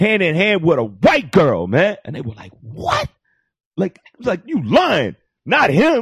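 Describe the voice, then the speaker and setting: A man with a New York accent at a fairly slow pace, big swings in loudness, dry, close sound with no echo. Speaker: comedy podcast guest. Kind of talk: casual chat. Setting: studio with live internet audience.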